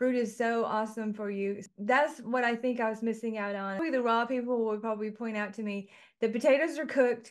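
Fairly high-pitched woman at a fairly quick pace, a plain, everyday voice with fairly even intonation. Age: 50s. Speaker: podcast host, yoga instructor and lawyer. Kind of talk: casual chat.

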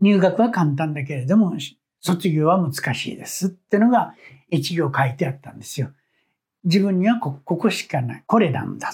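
A high-pitched man at a moderate pace. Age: 70s. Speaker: petal artist. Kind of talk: interview.

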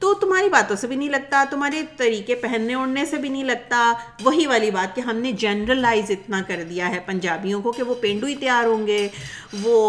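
With a slight Punjabi accent, a woman speaks in a high pitch with lively intonation over noticeable background noise. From Pakistan, Karachi. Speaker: podcast host. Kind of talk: casual chat.

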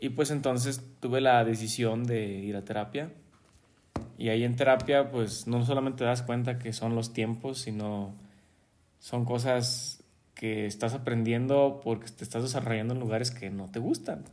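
Here is a man with a plain, everyday voice at a medium pitch. He keeps a moderate pace and fairly even intonation. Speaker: podcast co-host, engineer. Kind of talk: casual chat.

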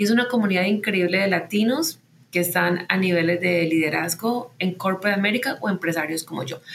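A woman speaks at medium pitch and a moderate pace, her pitch varying in an ordinary way. Noticeable background noise can be heard. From Colombia, Medellín. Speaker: tech company founder and CEO. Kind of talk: interview.

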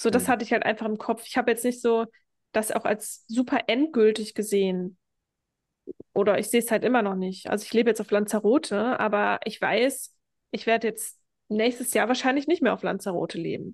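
A woman with an ordinary speaking voice, fairly high pitch, fairly quick pace and fairly even intonation against a quiet background. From Germany. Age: 30s. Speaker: hypnosis and self-worth coach. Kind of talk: podcast interview.

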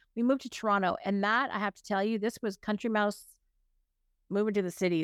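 A woman with a Canadian accent talks at a fairly quick pace in a medium pitch, keeping her intonation fairly even. The sound is dry and close with no echo, in a very clean recording with a silent background. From Ontario, Canada. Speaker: business coach and author. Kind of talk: casual interview.

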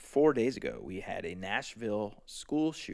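Lively in intonation and showing vocal fry, a man speaks at a fairly slow pace. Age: 30s. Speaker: podcast host. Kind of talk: casual monologue. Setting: live stream. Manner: animated.

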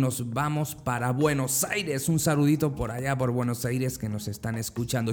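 A man talks in an ordinary speaking voice at a fairly slow pace. His pitch sits in the medium range with ordinary variation. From Andalusia, Spain (Motril). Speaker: podcast host. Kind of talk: casual greeting; motivational monologue.

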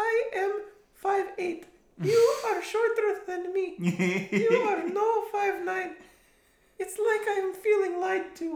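A squeaky, extremely high-pitched put-on character voice in a Russian accent, at a very slow pace, with slight echo. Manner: accusatory, indignant.

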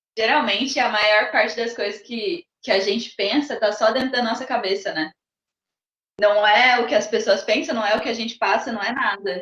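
In a plain, everyday voice, a woman with a fairly high pitch talks at a moderate pace with ordinary pitch variation. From Brazil, Mato Grosso (Rondonópolis). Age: 30s. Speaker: circus teacher and personal trainer. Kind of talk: casual interview.

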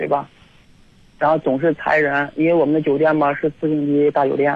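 The voice keeps a moderate pace and a monotone, flat intonation. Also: man. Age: 30s. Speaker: hotel security guard, caller. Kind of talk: phone-in chat. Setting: phone call. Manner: halting.

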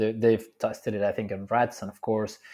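Against a quiet background, a man with a Spanish accent speaks at a fairly low pitch. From Mexico City, Mexico. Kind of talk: casual chat.

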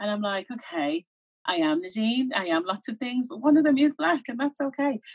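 Speaking with a Birmingham accent, a woman talks at a fairly quick pace and a fairly high pitch, somewhat breathy, with very wide pitch swings. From England, Birmingham (Handsworth). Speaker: broadcaster and media co-founder. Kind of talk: interview.

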